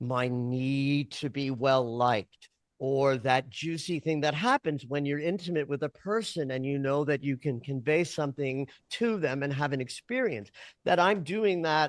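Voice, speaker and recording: A man with an unremarkable speaking voice talks at a moderate pace and fairly high pitch with lively intonation, the sound dry and close with no echo over a quiet background. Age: 60s. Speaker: dream interpreter and astrologer. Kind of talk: interview conversation.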